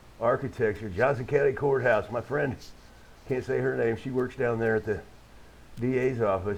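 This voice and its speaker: Here a man speaks at a moderate pace and medium pitch, with ordinary pitch variation. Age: 60s. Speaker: live-streamer. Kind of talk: casual livestream monologue. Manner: halting, frequent repetitions.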